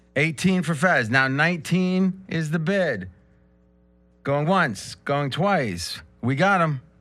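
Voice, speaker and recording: With music in the background, a man with a fairly high pitch speaks at a very slow pace with lively intonation. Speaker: sports betting show host. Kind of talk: casual roundtable chat. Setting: studio. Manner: animated, laughs often.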